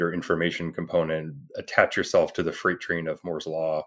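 Speaking at a fairly quick pace, a man with a Canadian accent has a very deep, low pitch. The recording is very clean, with a silent background. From Canada (Toronto). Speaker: tech company CEO. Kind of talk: interview. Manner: halting, many fillers and restarts.

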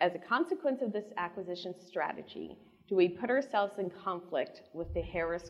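A woman with a medium pitch speaks at a fairly quick pace with lively intonation. It is a plain, everyday voice. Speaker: moderator. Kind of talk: moderated panel Q&A.

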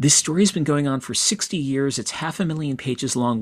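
A man with a plain, everyday voice and medium pitch speaks at a fairly quick pace on a very clean recording with a silent background. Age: 50s. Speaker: author and comics critic. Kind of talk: interview.

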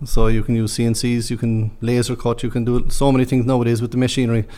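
In a Cork accent, a man speaks fairly quickly at a medium pitch, his tone dark and mellow and his intonation fairly even. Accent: Cork Irish. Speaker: construction manager. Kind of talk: interview.

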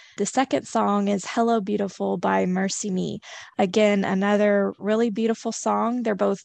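Over a quiet background, a woman speaks at a medium pitch with ordinary pitch variation. It is a plain, everyday voice. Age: 30s. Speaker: manager. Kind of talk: casual chat.

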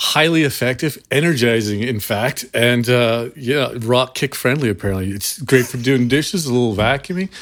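This man has an unremarkable speaking voice at a medium pitch, with ordinary pitch variation. He talks at a moderate pace with hardly any pauses. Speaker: podcast host. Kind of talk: casual banter about music.

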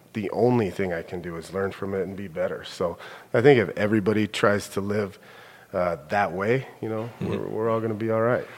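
A man with an American accent, a normal speaking voice, fairly low pitch, fairly even intonation and a fairly quick pace. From Billings, Montana, US. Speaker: middle school principal. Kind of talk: casual chat.

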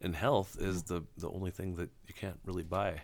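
A man with a plain, everyday voice talks at a moderate pace and fairly low pitch. The recording is very clean, with a silent background. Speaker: podcast host. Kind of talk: casual interview conversation.

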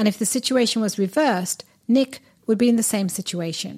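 In a British accent, a somewhat breathy voice moves at a moderate pace with ordinary pitch variation over a very clean recording with a silent background. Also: woman. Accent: British-sounding. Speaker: podcast host and relationship coach. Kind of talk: monologue.

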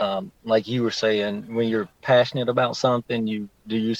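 A man with a Southern US accent speaks at a moderate pace and medium pitch against a quiet background. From Shelby, North Carolina. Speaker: community school coordinator. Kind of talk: casual interview.

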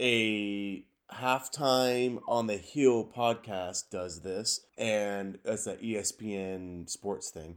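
On a very clean recording with a silent background, a man with an American accent speaks very slowly at a fairly low pitch with hardly any pauses. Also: ordinary pitch variation. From Washington State, US. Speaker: podcast co-host, construction superintendent. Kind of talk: casual chat.

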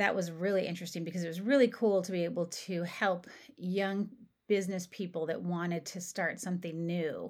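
A woman with a plain, everyday voice speaks at a moderate pace and a fairly low pitch. Her intonation is fairly even, and the recording is very clean with a silent background. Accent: American. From southeastern Ohio, Appalachia. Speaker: economic development consultant. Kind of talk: interview.

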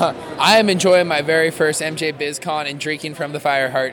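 A man with a fairly high pitch speaks at a moderate pace with fairly even intonation over noticeable background noise. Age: 30s. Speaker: extraction equipment company representative. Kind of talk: casual interview. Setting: trade show floor. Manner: halting, with many fillers.

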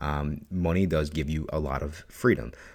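A man speaks with an American accent at a very deep, low pitch, his pitch varying in an ordinary way. Vocal fry runs through his voice. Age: 30s. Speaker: podcast host. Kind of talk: casual monologue. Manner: animated.

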